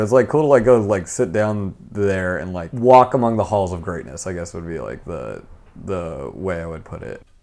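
With an American accent, a man in a plain, everyday voice speaks at a moderate pace with lively intonation. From California. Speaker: speechwriter. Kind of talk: casual chat. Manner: casual, joking.

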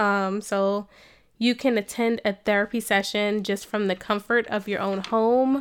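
A woman speaks at a medium pitch with an American accent, in a flat monotone at a fairly slow pace. The recording is very clean, with a silent background. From New Jersey. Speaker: licensed counselor and podcast host. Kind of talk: scripted podcast introduction.

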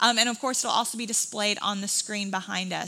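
Over noticeable background noise, a woman talks very fast at a fairly high pitch with fairly even intonation. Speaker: church service reader. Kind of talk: scripture reading aloud. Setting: church.

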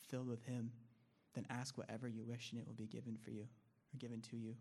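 A man with an American accent talks at a very fast pace in a medium-pitched voice with monotone, flat intonation. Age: 20s. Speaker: discipleship student. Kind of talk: testimony.

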